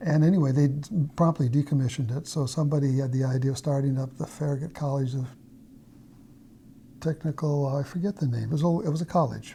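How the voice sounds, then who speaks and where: A very fast, somewhat breathy man with an American accent, a fairly high pitch, a dark, mellow tone, and long, frequent pauses. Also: fairly even intonation. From US Pacific Northwest (Idaho, Washington). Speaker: mathematician. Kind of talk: interview, life story. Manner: halting, many fillers.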